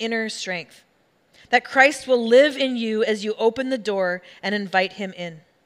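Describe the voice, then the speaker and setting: Recorded very cleanly with a silent background, a woman speaks in a plain, everyday voice, fairly high in pitch, at a fairly slow pace with ordinary pitch variation. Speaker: pastor. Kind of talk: sermon. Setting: church. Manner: casual, humorous.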